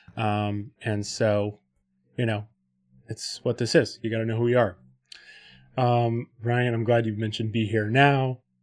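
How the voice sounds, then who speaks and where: On a very clean recording with a silent background, a man with an American accent and a medium pitch talks at a fairly slow pace in a monotone, flat intonation, with long, frequent pauses. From Texas, Austin. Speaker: podcast host. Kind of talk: casual chat. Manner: halting.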